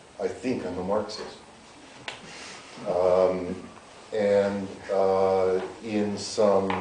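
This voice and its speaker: A man speaks with a Canadian accent at a fairly low pitch. Noticeable background noise and audible room echo surround him. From Canada, North Winnipeg. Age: 60s. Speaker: political scientist. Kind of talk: public interview.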